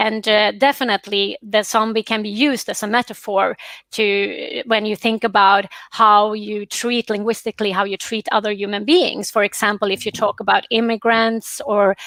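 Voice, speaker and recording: A woman with a Swedish accent and fairly even intonation. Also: fairly high pitch for a woman, moderate pace, dry, close sound with no echo, very clean recording, silent background. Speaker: professor. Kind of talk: panel discussion. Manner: halting.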